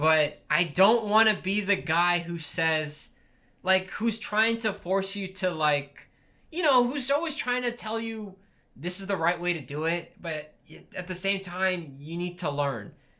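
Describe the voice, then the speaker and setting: A man with a high, bright, sharp voice speaks fairly slowly with lively intonation. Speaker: aspiring YouTuber vlogger. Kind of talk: casual talking-to-camera vlog. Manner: halting, with restarts; unscripted, off-the-cuff.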